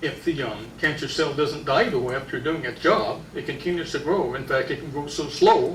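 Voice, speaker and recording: Someone talks at a fairly quick pace with fairly even intonation amid audible room echo and noticeable background noise. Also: man. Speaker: health seminar speaker. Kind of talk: lecture. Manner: loud.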